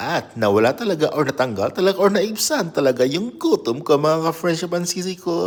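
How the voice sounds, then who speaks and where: A man with a high pitch and an animated tone at a fairly quick pace, his pitch swinging very widely. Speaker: vlogger. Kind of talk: casual vlog. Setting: at home.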